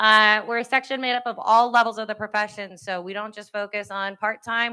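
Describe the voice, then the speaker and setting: Over a silent background in a very clean recording, a woman speaks very fast at a fairly high pitch, her tone bright and sharp and her intonation flat and monotone. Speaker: parks and recreation manager. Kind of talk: conference presentation.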